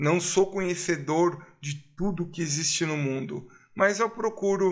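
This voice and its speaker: Speaking at a very slow pace, a man has a high voice with a bright, sharp tone. His pitch varies in an ordinary way against a quiet background. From Brazil. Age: 50s. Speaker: YouTuber. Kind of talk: vlog monologue. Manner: animated.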